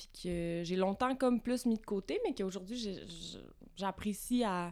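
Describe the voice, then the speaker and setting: A woman speaks in a normal speaking voice at a moderate pace, with ordinary pitch variation. The recording is very clean, with a silent background. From Quebec, Vaudreuil-Dorion near Montreal. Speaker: visual artist. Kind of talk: casual interview. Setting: recording space with coffee.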